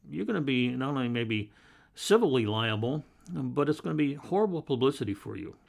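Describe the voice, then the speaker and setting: Against a quiet background, someone with a Pacific Northwest accent speaks at a moderate pace with lively intonation. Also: man. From Portland, Oregon. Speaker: private investigator, retired police captain. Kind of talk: interview.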